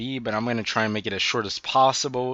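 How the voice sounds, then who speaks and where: This man's voice sits at a medium pitch with ordinary pitch variation. The background is quiet. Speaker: anime reviewer. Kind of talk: casual video review. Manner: halting, many repetitions and fillers.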